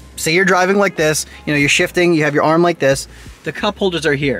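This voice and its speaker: Music plays behind a man whose voice sits at a fairly high pitch. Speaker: car reviewer. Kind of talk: casual vlog review. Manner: fast.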